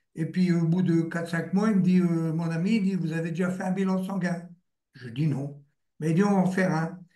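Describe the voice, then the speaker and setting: This man's voice is high-pitched, with a dark, mellow tone and fairly even intonation. He keeps a moderate pace, and audible room echo surrounds him. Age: 70s. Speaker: patient giving testimony, retired confectionery worker. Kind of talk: testimony. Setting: live video stream.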